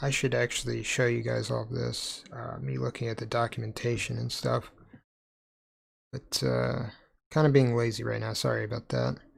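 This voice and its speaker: The speaker is mumbling at a moderate pace. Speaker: programming live streamer. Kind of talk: live coding stream. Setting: live stream with chat. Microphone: mic too quiet.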